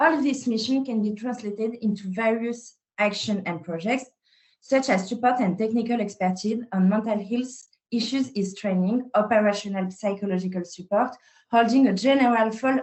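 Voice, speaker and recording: In a French accent, a woman speaks at a moderate pace with a fairly high pitch. Her voice is somewhat breathy, with ordinary pitch variation. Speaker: psychologist. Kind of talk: webinar presentation.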